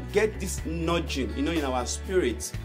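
Clear music sounds in the background. The talking keeps a moderate pace. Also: man. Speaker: motivational speaker. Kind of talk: sermon-style talk to camera. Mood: earnest, calm. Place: home room. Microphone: phone near.

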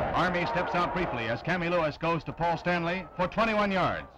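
Noticeable background noise sits behind a man talking at a fairly quick pace. His pitch is high, with ordinary variation. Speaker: newsreel narrator. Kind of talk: newsreel sports narration. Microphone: old recording.

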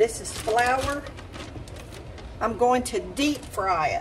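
A woman talks at a very slow pace in a high voice. Noticeable background noise runs underneath. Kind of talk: casual cooking vlog chat. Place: kitchen. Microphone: phone near.

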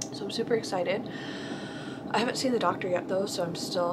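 A woman amid loud background noise. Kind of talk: casual vlog chat. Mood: happy, relieved. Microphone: phone near.

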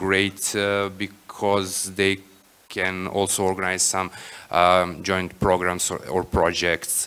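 In a very deep, low voice with a bright, sharp tone, a man speaks very slowly in a flat monotone. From Serbia. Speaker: education program manager; panelist. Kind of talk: panel discussion. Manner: halting, many fillers. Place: hall. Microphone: podium.

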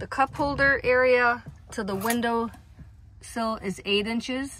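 A woman at a very slow pace with ordinary pitch variation, a dry sound with no echo and light background noise. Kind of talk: tutorial. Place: car. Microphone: phone near.

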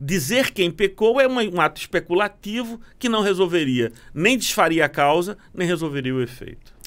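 A man talks at a moderate pace with hardly any pauses. His high voice makes very wide pitch swings. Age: 50s. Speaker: lawyer, philosopher and pastor; lawyer, pastor. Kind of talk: casual chat. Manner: formal. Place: studio. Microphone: studio mic.

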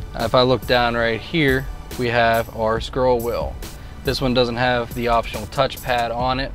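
A man is speaking. Clear music plays in the background of a dry sound with no echo. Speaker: car salesperson. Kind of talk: product demo commentary. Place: car.

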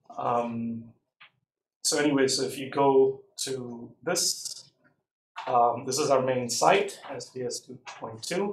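Delivered at a very slow pace with long, frequent pauses, the speech carries audible room echo. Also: man, ordinary pitch variation. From South India. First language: a South Indian language. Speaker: university lecturer. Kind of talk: lecture. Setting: classroom, live streamed. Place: classroom.

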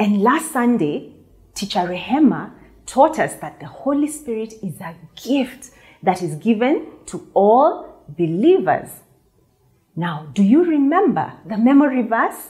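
Against a quiet background, a dark, mellow voice moves at a fairly slow pace with very wide pitch swings and big swings in loudness. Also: woman, high pitch for a woman. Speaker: children's church teacher. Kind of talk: lesson to children. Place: studio. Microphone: lapel.

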